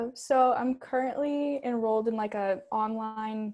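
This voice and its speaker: Recorded very cleanly against a silent background, a woman with a normal speaking voice talks at a fairly high pitch with fairly even intonation. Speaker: college fencer. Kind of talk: interview.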